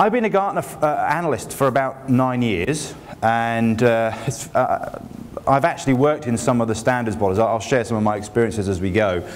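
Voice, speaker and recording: A man with a British accent talks at a fairly quick pace in a medium pitch with lively intonation. Noticeable background noise and audible room echo come through. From England. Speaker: industry analyst. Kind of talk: conference keynote. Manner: casual and joking.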